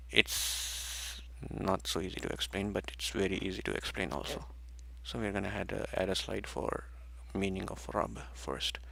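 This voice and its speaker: Speaking at a moderate pace, a man with a very deep, low pitch and a bright, sharp tone uses vocal fry and very wide pitch swings. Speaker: religious study teacher. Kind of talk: rehearsal of a study session. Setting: livestream. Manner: soft-spoken.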